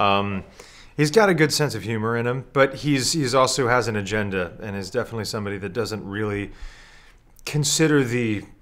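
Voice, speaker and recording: The pace here is fairly quick. It is an ordinary speaking voice, and its pitch variation is ordinary. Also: man. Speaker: actor being interviewed. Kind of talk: interview answer. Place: studio.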